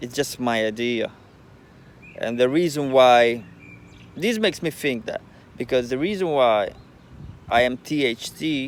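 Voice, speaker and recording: A man speaks with a non-native accent at a fairly slow pace. His pitch is medium. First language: not English. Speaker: spiritual vlogger. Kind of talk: casual monologue. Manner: halting.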